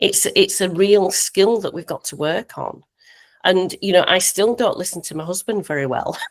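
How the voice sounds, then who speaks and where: A woman speaks in a normal speaking voice at medium pitch and a moderate pace, with ordinary pitch variation and a dry, close sound with no echo. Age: 60s. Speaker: life coach. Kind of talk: podcast interview.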